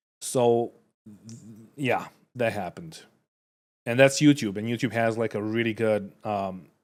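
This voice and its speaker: Recorded very cleanly against a silent background, a man with a non-native accent talks at a fairly slow pace in a medium pitch, with ordinary pitch variation, big swings in loudness, and long, frequent pauses. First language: not English. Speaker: streamer reacting to videos. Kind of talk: casual reaction commentary. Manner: halting, many fillers and restarts.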